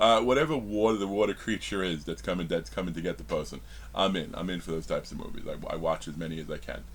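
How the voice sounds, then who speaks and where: A man's very deep, low voice with vocal fry, very wide pitch swings and a fairly quick pace. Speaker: horror movie reviewer. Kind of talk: casual video review monologue. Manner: halting, many fillers and restarts.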